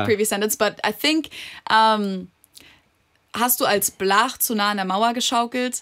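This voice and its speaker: Over a very clean recording with a silent background, a woman with a German accent speaks fairly slowly in a fairly high pitch and bright, sharp tone, with fairly even intonation and long, frequent pauses. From Germany. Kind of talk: casual podcast conversation.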